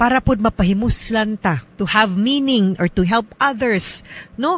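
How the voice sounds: A woman talks at a fairly slow pace, her fairly high pitch showing ordinary variation.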